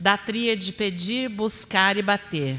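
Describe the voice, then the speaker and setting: The speaker is a woman with a medium-pitched voice. Its tone comes across bright and sharp. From interior of São Paulo state, Brazil. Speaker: spiritist lecturer. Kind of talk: religious lecture.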